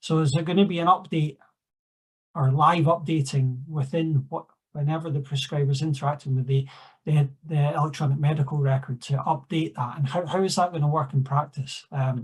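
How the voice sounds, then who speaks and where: With a Scottish accent, the speaker moves at a fairly quick pace. The voice is somewhat breathy, with fairly even intonation. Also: man, fairly high pitch for a man. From Scotland. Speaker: clinical research assistant, discussant. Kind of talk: conference Q&A discussion. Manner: halting, many fillers.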